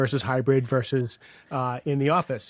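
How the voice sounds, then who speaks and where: On a very clean recording with a silent background and a dry, close sound with no echo, a man speaks at a moderate pace with a fairly high pitch. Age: 60s. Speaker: sales coach and author. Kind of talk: podcast interview. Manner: halting, many repetitions and fillers.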